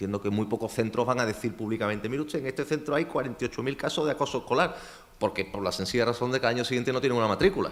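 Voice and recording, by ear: A man at a medium pitch, very fast pace with few pauses, and ordinary pitch variation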